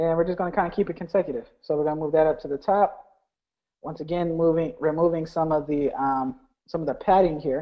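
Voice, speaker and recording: A man talks at a very fast pace. His voice sits fairly high. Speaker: online business coach. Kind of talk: live webinar tutorial. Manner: casual, filler-heavy.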